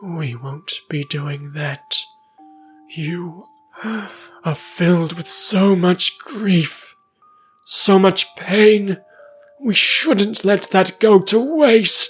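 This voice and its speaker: A raspy put-on character voice at middle pitch, very slow, with long, frequent pauses and faint music in the background. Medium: read story. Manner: calm, slow, polite.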